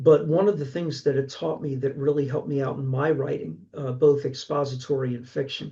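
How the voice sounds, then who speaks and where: Someone with a Philadelphia accent speaks at a fairly quick pace in a dark, mellow, somewhat breathy tone with fairly even intonation. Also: man. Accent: Philadelphia-area American. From Pennsylvania, Delaware County. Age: 60s. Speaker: horror author and college instructor. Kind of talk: casual interview chat.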